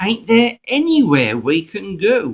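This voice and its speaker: A man is talking here. The pitch of his voice swings very widely. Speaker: church member. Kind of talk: reading aloud of a dialect story. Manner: broad dialect storytelling.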